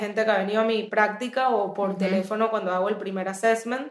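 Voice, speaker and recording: A woman talks at a fairly quick pace in a fairly high pitch. Her intonation stays monotone and flat. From Venezuela. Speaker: therapist. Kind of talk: interview conversation.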